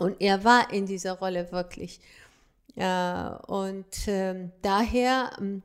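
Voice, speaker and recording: The background is silent in a very clean recording. Intonation remains fairly even. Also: woman. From Afghanistan, Kabul. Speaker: fashion designer and women's rights activist. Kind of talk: interview. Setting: studio. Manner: halting.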